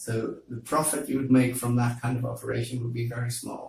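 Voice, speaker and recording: A man talks at a fairly quick pace and a medium pitch, with monotone, flat intonation. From Netherlands, Amsterdam. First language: Dutch. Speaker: university lecturer. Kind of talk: interview. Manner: hesitant, many fillers.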